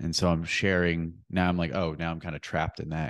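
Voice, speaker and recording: At a moderate pace, a man talks in a very deep, low voice with monotone, flat intonation. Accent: American. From central Pennsylvania. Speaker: personal trainer and men's coach. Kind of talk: casual interview.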